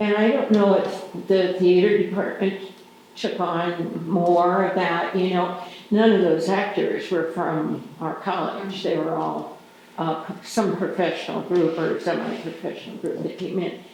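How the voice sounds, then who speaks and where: The delivery comes at a fairly slow pace. Noticeable background noise runs underneath. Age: 80s+. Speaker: audience member. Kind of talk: casual discussion. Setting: post-show talk with audience.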